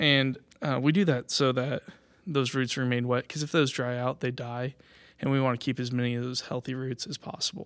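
A man with a normal speaking voice and an American accent, medium pitch, fairly even intonation and a fairly quick pace, in a very clean recording with a silent background. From Kansas. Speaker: nursery grower. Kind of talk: informal presentation.

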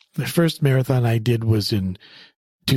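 A somewhat breathy man with a Canadian accent and a medium pitch speaks with ordinary pitch variation, in a dry, close sound with no echo on a very clean recording with a silent background. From Canada. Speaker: clinical psychologist. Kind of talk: interview. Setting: office.

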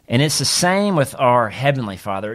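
A man with a Southern US accent in a very clean recording against a silent background. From US South, Mississippi. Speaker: pastor. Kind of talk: teaching podcast monologue.

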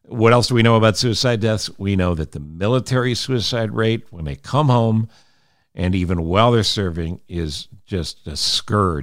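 A man with an American accent and an unremarkable speaking voice talks at a moderate pace, his fairly low pitch carried by lively intonation. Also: very clean recording, silent background. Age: 60s. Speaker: radio host and podcaster. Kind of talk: solo podcast monologue. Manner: earnest.

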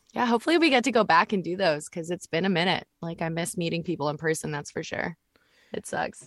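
Ordinary pitch variation marks this woman's speech. She talks at a very fast pace with a Canadian accent. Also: fairly low pitch for a woman, dry, close sound with no echo. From Canada, Vancouver. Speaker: voice actor. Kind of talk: casual chat. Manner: animated.

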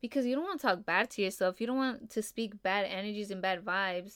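A woman talks at a fairly quick pace in a relaxed tone with ordinary pitch variation. The recording is very clean, with a silent background. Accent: Spanish. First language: Spanish. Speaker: podcast host, makeup artist. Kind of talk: casual solo talk. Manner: relaxed, filler-heavy.

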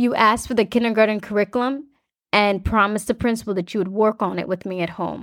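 A woman's fairly high voice at a very fast pace, with fairly even intonation, in a very clean recording with a silent background. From rural West Africa. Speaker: podcast host. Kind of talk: personal storytelling narration.

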